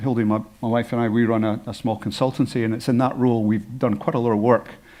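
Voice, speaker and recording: A man with a Scottish accent, medium pitch and a dark, mellow tone, talking at a very fast pace against a quiet background. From Scotland. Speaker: health informatician and former doctor. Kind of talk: conference presentation.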